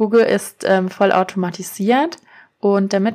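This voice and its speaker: A woman at medium pitch in a plain, everyday voice, with fairly even intonation at a fairly slow pace, on a very clean recording with a silent background. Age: 30s. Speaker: SEO consultant and podcast host. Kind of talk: solo explainer podcast. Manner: casual, with frequent fillers.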